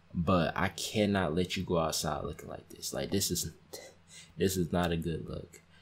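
Quiet and moderately paced, a man speaks with a very deep, low pitch and monotone, flat intonation. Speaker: YouTube reaction creator. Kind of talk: reaction video commentary. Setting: at home, others sleeping. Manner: kept quiet, voice down. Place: home room.

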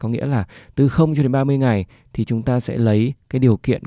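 Dark, mellow male voice at a fairly slow pace, in a very clean recording with a silent background and a dry, close sound with no echo. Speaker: Excel tutorial instructor. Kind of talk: screen-recorded tutorial. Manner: hesitant fillers, explanatory.

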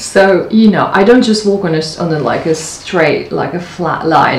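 A woman at a moderate pace, with light background noise and audible room echo. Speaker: lifestyle vlogger. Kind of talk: casual vlog chat. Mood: warm, upbeat, light laughs. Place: home room. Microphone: camera far.

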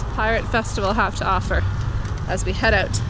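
Loud background noise and a dry sound with no echo. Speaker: family vlogger. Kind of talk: casual vlog chat. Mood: cheerful, light laughing. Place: street. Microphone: phone near.

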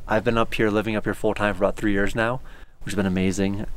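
At a very fast pace, a man speaks in a fairly low, monotone voice with flat intonation and a dry sound with no echo. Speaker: town caretaker host. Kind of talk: informal tour explanation. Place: open country.

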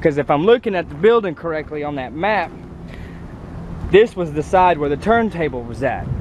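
A man talks fairly quickly at a high pitch, with lively intonation. The sound is dry with no echo, but background noise is noticeable. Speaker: railfan vlogger. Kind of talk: casual vlog chat. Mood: interested, a bit hot. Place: open country. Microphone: phone near.

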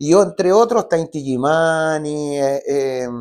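A man's lively intonation with a Chilean accent, against a quiet background. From Chile, Santiago. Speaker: singer-songwriter; guest. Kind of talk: interview. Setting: studio. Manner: halting. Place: studio. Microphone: lapel.

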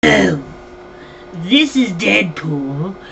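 A man performs a put-on character voice at a fairly slow pace. Clear background noise can be heard. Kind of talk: comic overacting. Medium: comedy sketch. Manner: boastful, hyper, self-important.

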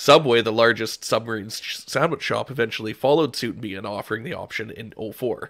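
A man with a Canadian accent has a plain, everyday voice at a medium pitch with ordinary pitch variation. He speaks at a fairly quick pace with hardly any pauses and big swings in loudness. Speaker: podcast co-host. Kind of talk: casual chat.

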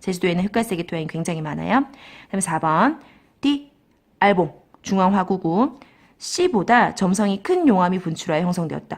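Somewhat breathy and medium in pitch, a woman speaks at a moderate pace with lively intonation and long, frequent pauses. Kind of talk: lecture.

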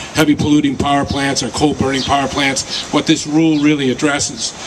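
This is a man's voice. Noticeable background noise is present. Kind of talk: public speech. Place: street. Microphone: handheld.

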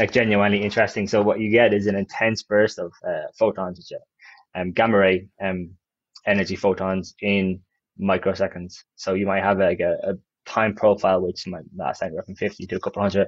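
Over a quiet background and with a dry, echo-free sound, a man talks at a fairly quick pace in a fairly low, monotone, flat voice. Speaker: podcast guest. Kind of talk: interview answer. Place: office. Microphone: earbuds.

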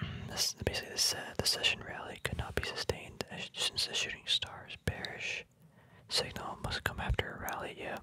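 Soft-spoken whispering, dry with no echo, under noticeable background noise. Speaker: reader studying a trading book. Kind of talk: casual tutorial commentary. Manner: soft ASMR whisper, slow explanation.

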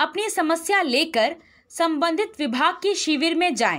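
Recorded very cleanly against a silent background, a woman speaks at an extremely high pitch with a bright, sharp tone and lively intonation. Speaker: news anchor. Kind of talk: formal newsreading. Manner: formal; brisk, steady, even-paced delivery.

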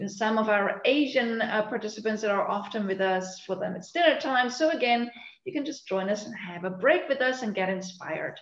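A woman at a fairly quick pace, with audible room echo. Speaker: session host. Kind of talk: webinar host introduction. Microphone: video call.

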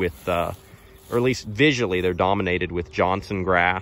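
A man's very deep, low voice with fairly even intonation, a moderate pace and a dry sound with no echo. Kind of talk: casual field walk-through commentary. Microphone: phone near.

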